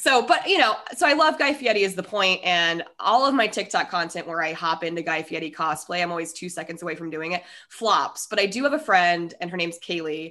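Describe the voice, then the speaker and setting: Bright, sharp, animated tone with lively intonation and an American accent, at a moderate pace against a quiet background. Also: woman. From US, Colorado (Denver). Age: 30s. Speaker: podcaster. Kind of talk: casual interview chat.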